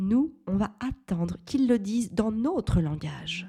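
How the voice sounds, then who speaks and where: A woman's dark, mellow, somewhat breathy voice, very slow with lively intonation, on a very clean recording with a silent background. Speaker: parenting podcaster, mother. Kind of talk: solo podcast monologue.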